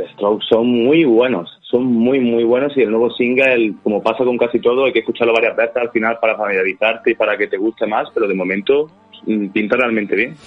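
A man with a normal speaking voice talks at a fairly quick pace, at medium pitch with ordinary pitch variation. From Andalusia, Jaén. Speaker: football analyst and film radio host. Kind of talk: casual football talk.

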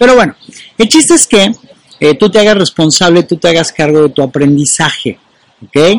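A man with a high voice talks at a moderate pace with lively intonation, very even loudness and long, frequent pauses. The sound is dry and close, with no echo. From Mexico. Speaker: motivational coach. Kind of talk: monologue video. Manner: filler-heavy.

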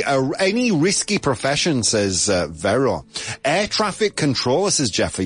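Amid noticeable background noise, a man with a fairly high pitch talks at a moderate pace with very wide pitch swings. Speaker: radio host. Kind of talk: casual chat. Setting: studio. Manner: animated; joking.

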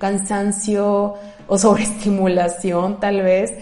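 The room echo is audible as a woman speaks. She has a medium pitch and a very slow pace. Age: 30s. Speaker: podcast host, therapist. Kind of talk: solo podcast monologue. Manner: conversational, with filler hesitations.

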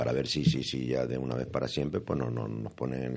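Very deep and low in pitch, a man's voice carries vocal fry and a dark, mellow tone, moving at a fairly quick pace with fairly even intonation. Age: 70s. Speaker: choir member. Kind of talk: radio interview.

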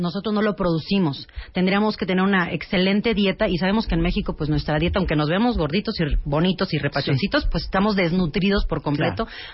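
A somewhat breathy woman at a medium pitch, very fast pace and ordinary pitch variation. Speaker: gynecologist. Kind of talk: interview.

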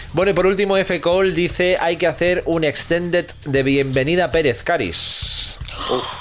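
High-pitched and animated, a man speaks at very even loudness amid noticeable background noise. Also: fairly slow pace. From Catalonia, Spain (Terrassa). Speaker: comedy podcast host. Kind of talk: casual comedic chat.

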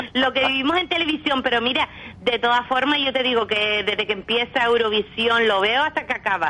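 Over noticeable background noise, a woman talks at a fairly quick pace in a high voice, with ordinary pitch variation and very even loudness. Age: old. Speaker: Eurovision fan. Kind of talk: casual chat.

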